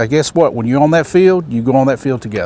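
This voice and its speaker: His pitch varies in an ordinary way. He is a man talking with a Southern US accent. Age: 60s. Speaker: baseball umpire and instructor. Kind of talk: motivational talk at a training camp.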